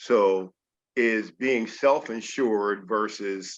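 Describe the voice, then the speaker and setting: The voice belongs to a man with a fairly low pitch. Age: 70s. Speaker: veteran, call participant. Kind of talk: question on video call. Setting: video call.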